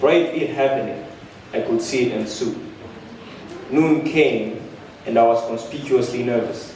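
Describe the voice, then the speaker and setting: A man talks at a moderate pace in a passionate tone, with fairly even intonation. Noticeable background noise runs underneath. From Namibia. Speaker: poet. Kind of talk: spoken word poetry performance. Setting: live stage.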